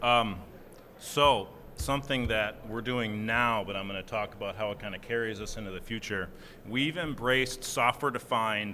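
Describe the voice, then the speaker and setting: Here a man with a Minnesotan accent speaks at a medium pitch and a moderate pace. Audible room echo surrounds his voice. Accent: Minnesota. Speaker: software engineer, panelist. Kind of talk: conference panel discussion.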